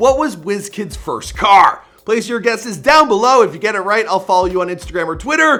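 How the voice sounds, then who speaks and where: A raised, projected voice speaks in a Canadian accent with lively intonation. The pace is fairly quick. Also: man. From Canada. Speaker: YouTube biography narrator. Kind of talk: narrated biography video. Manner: casual, conversational.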